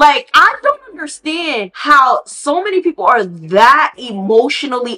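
The tone is animated, with very wide pitch swings. Noticeable background noise sits behind the voice. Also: woman. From Haitian heritage. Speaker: podcast host. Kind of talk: casual commentary.

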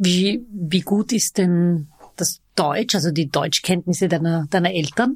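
Recorded dry and close with no echo, a woman speaks very slowly at a fairly low pitch, somewhat breathy, with ordinary pitch variation and very even loudness. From Vienna. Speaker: podcast host. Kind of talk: casual interview.

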